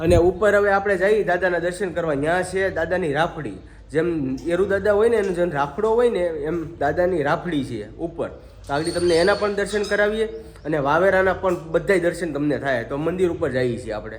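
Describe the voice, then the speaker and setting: Over noticeable background noise and audible room echo, a man talks at a high pitch with ordinary pitch variation. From Gujarat, Saurashtra (Vavera village, Rajula area). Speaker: family vlogger. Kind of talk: casual vlog narration. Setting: outdoors, village temple and rooftop.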